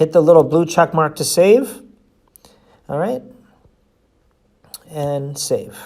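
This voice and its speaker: A man's voice sits at a fairly high pitch. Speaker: sales trainer. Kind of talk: tutorial. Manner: fast.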